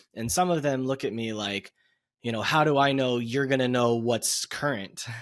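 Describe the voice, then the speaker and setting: Over a very clean recording with a silent background, a man speaks at a medium pitch and a moderate pace in a normal speaking voice. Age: 30s. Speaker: podcast host. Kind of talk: podcast intro; interview.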